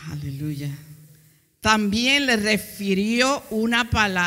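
Very slow pace on a very clean recording with a silent background. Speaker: preacher. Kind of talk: sermon. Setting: church. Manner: fervent, urgent, preaching with pauses for interpretation.

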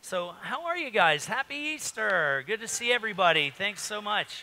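A man talks in a raised, projected voice. His pace is moderate. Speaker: pastor. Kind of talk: sermon. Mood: jovial, joking. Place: church.

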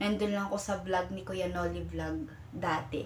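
Noticeable background noise surrounds a woman speaking at a fairly slow pace. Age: young. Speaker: vlogger and college student. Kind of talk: casual vlog. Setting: boarding house room. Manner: halting.

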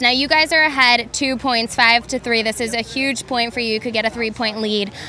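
Upbeat and energetic, a woman speaks at a high pitch and fairly quick pace, the sound dry with no echo and light background noise. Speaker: sideline reporter. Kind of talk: sideline interview. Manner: upbeat, energetic interviewer. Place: open country. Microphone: handheld.

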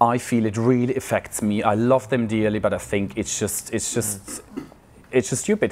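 Over light background noise, a man with a Swiss accent speaks at a moderate pace in a monotone, flat way with hardly any pauses. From Switzerland. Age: 40s. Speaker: churchgoer sharing faith story; guest. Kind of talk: testimony. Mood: warm, reflective. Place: hall.

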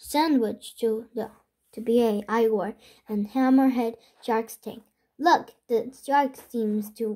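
Quiet behind an unforced reading voice

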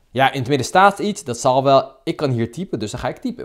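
At a very fast pace, a man talks with lively intonation in a fairly high pitch. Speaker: dating coach vlogger. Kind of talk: angry rant. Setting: screen recording of app. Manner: animated; indignant, sarcastic.

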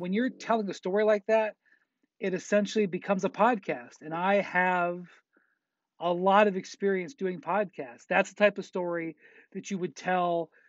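In a quiet background with a dry sound and no echo, a man speaks at a high pitch with fairly even intonation. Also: moderate pace. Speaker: sports journalist. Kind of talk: interview answer. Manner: casual, conversational. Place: studio. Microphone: earbuds.

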